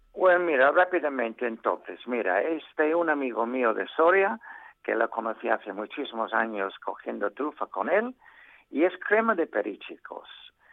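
This man talks at a moderate pace in a fairly high voice, his pitch swinging very widely. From England. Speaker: mushroom expert contributor. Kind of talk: casual radio chat.

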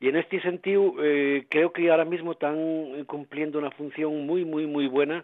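At a moderate pace, a man with a fairly high voice speaks in a monotone, flat intonation. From Asturias. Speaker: musician. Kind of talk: radio interview. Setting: at home.

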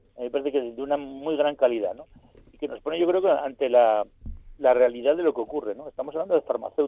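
A man with a fairly high pitch speaks at a very fast pace, his loudness swinging widely while his pitch varies an ordinary amount. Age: 50s. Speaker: teacher and panel commentator. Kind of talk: radio panel discussion.

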